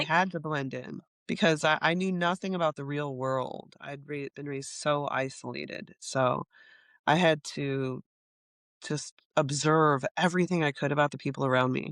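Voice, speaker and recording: A woman talks at a very deep, low pitch with fairly even intonation. The sound is dry and close with no echo, over a quiet background. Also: moderate pace. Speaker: teaching artist. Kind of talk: podcast interview answer. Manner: thoughtful, reflective, speaks openly.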